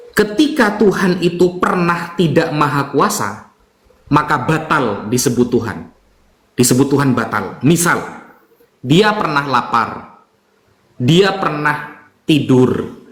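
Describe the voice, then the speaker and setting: Audible room echo surrounds a man who talks fairly slowly in a fairly high voice with lively intonation. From Java, Indonesia. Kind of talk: religious debate explanation.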